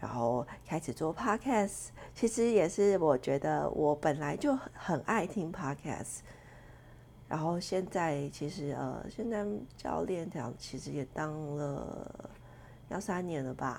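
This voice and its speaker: Very slow speech with vocal fry and lively intonation. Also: woman, very deep, low pitch for a woman. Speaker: podcast host and fitness coach. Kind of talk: solo podcast self-introduction, casual. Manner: casual, chatty, hesitant with fillers.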